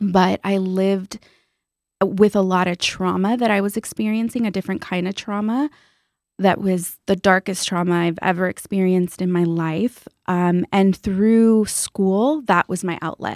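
A woman with an American accent speaks in an ordinary speaking voice at a medium pitch, fairly slowly and with fairly even intonation. The recording is very clean with a silent background and a dry, close sound with no echo. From US West Coast, Orange County, California. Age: 40s. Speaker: author and financial educator. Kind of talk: interview conversation. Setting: studio.

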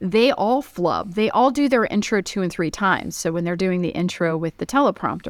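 On a very clean recording with a silent background, a woman with a normal speaking voice talks at a fairly quick pace, medium pitch, and lively intonation. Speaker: media coach and chef. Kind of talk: casual interview chat.

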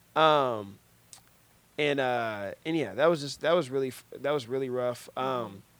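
A man speaks at a medium pitch and a moderate pace. His pitch varies in an ordinary way, with long, frequent pauses. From US Midwest, Cincinnati, Ohio. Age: 20s. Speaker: podcast host, movie reviewer. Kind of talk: casual chat. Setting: studio.

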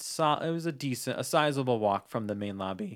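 A man talks at a moderate pace in a plain, everyday voice of medium pitch with lively intonation, on a very clean recording with a silent background. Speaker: Disney-themed podcast co-host. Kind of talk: casual chat.

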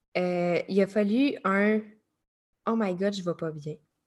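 This is a woman speaking with a Quebec accent. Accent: Québécois French. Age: 30s. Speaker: life coach. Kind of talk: interview. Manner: animated.

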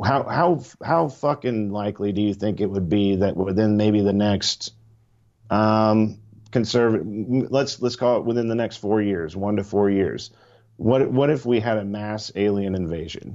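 A man with a normal speaking voice talks in an American accent, with a fairly low pitch and ordinary pitch variation. His pace is fairly slow, and the background is quiet. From Missouri. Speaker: podcast guest. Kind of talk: casual chat.

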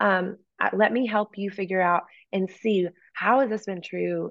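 With an unremarkable speaking voice, a woman talks at a fairly slow pace, her medium pitch showing ordinary pitch variation. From East Texas. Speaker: worship leader and author. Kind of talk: interview conversation. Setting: video call.

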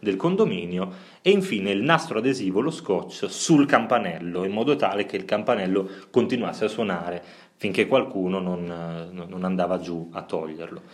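A man with an ordinary speaking voice, fairly low in pitch, lively intonation, moderate pace. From Italy, Bologna. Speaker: podcast co-host. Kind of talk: casual chat.

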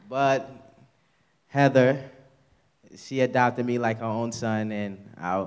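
In a New York accent, a man talks with ordinary pitch variation. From New York (Queens). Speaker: church member giving testimony. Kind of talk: testimony. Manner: halting.

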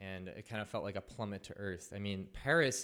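Using a plain, everyday voice, a man speaks at fairly low pitch and a moderate pace with fairly even intonation, on a very clean recording with a silent background. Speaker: storyteller. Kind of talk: live personal storytelling. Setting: stage with audience.

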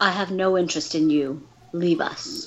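At a middle pitch and a moderate speed, this is a put-on character voice. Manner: haughty and dismissive.

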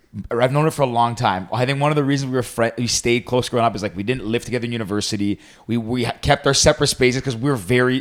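In a Canadian accent, a man speaks at medium pitch with fairly even intonation. He goes at a very fast pace with hardly any pauses. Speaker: podcast co-host. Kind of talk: casual chat.

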